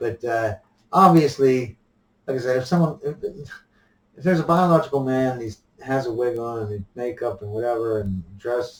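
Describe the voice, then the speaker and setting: Somewhat breathy, a man speaks at a moderate pace and medium pitch with ordinary pitch variation. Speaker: vlogger. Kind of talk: opinion monologue. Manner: halting with frequent repetitions; soft-spoken.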